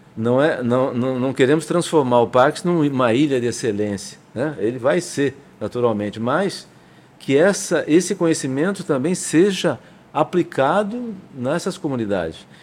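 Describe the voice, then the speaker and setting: Speaking at a fairly slow pace, a man uses a fairly high voice with lively intonation. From São Paulo, Brazil. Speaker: state government industrial development official, engineer. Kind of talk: interview. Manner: halting.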